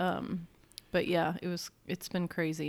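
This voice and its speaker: With an ordinary speaking voice, a woman talks at a fairly low pitch and with fairly even intonation. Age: 40s. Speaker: podcast co-host. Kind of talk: casual chat.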